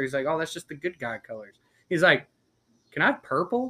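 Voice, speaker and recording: A man talks in an ordinary speaking voice. His pitch is fairly high. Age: 20s. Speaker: podcast guest, Star Wars fan. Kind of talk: casual chat. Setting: outdoors.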